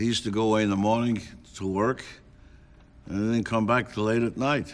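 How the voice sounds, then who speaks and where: This speaker has a New York accent and a fairly quick pace. The intonation stays fairly even. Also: man. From New York City, Lower East Side. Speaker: klezmer musician. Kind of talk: interview reminiscence.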